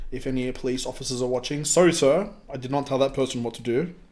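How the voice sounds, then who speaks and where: Extremely fast male speech with an Australian accent. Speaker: crypto ICO reviewer. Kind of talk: casual video review. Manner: casual, with many fillers.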